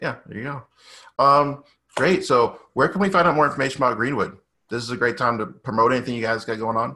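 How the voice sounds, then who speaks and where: A man's bright, sharp tone in an American accent, very fast, with ordinary pitch variation and a quiet background. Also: medium pitch for a man. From Boston. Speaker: podcast host. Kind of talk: interview.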